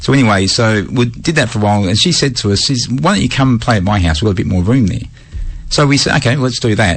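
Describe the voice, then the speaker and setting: In an Australian accent, a man speaks at a very fast pace with lively intonation and very even loudness, with audible room echo and noticeable background noise. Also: medium pitch for a man. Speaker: radio host. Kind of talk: casual chat. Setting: radio studio.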